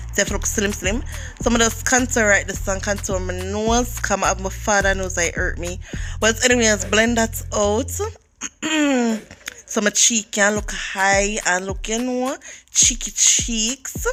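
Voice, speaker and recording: A woman speaks fairly slowly in a Jamaican accent. Music plays in the background. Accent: Jamaican Creole. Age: 20s. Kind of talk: casual makeup tutorial talk to camera.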